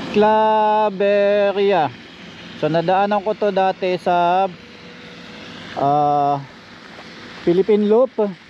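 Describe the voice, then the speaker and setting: The speech is very slow, with long, frequent pauses. Background noise is noticeable. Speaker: motovlogger. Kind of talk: travel vlog narration.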